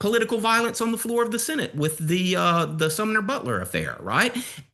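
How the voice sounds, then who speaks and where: A man's high, bright, sharp, raised and projected voice with a Southern US accent. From US South, Alabama. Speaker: history professor. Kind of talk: podcast interview.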